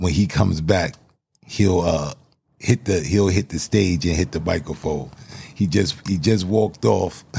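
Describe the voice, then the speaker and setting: Very deep and low in pitch, a man talks at a fairly slow pace with a dark, mellow tone, vocal fry, and ordinary pitch variation. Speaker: podcast host and spoken word poet. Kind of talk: panel discussion moderating, with upbeat motivational intro and outro. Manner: warm, energetic, encouraging.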